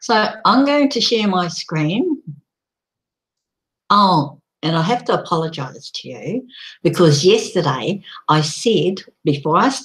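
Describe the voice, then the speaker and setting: Speaking at a fairly slow pace, a woman leaves long, frequent pauses while her pitch makes very wide swings. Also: medium pitch for a woman. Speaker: online community promoter. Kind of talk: live stream presentation. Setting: live video broadcast. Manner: gets loud and passionate.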